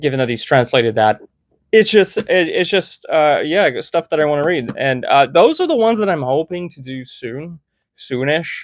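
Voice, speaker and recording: The recording is very clean, with a silent background. A man with a fairly high pitch talks at a moderate pace, his intonation lively and his loudness swinging widely. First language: French. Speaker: booktuber. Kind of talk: casual chat. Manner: halting.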